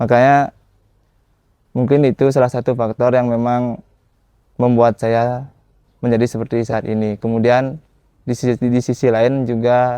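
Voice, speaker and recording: A man's dark, mellow voice in a dry, close recording with no echo. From Bali, Badung regency. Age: 20s. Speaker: barong dancer and dance teacher. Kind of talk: documentary interview. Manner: casual, with filler hesitations.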